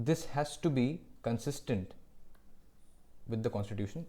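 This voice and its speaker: Speaking at a moderate pace, a man uses lively intonation in a medium-pitched voice with a dark, mellow tone. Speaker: law lecturer. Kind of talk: lecture.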